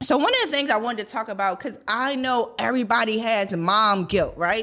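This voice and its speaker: Ordinary pitch variation in a woman's fairly high voice. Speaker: podcast host. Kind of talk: motivational talk. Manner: fast; casual, conversational.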